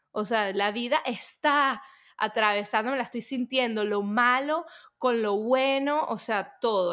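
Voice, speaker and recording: Speaking at a fairly slow pace, a woman with a fairly high pitch uses ordinary pitch variation on a very clean recording with a silent background. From Venezuela. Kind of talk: podcast interview. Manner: halting, with many repetitions and fillers.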